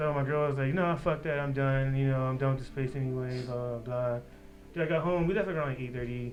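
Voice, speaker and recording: Amid noticeable background noise and audible room echo, a man mumbles at a very fast pace, with a medium pitch and fairly even intonation. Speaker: podcast co-host. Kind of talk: casual chat. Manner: fast, mumbling.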